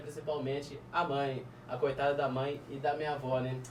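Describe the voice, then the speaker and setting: A man is speaking with noticeable background noise. The room echo is audible. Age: 30s. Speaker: guest telling life story. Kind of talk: testimony.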